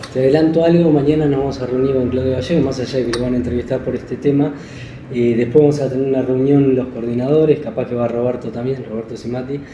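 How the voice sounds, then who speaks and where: In a room with audible echo and noticeable background noise, a man talks very fast at a medium pitch with fairly even intonation. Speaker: school program coordinator. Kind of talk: casual chat.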